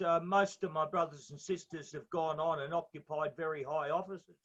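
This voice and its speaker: Speaking in an Australian accent, a man with a high pitch and a bright, sharp tone moves at a fairly quick pace with fairly even intonation. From Australia, Brisbane. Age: 60s. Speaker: interviewee sharing life story. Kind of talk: interview testimony. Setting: on a boat at sea.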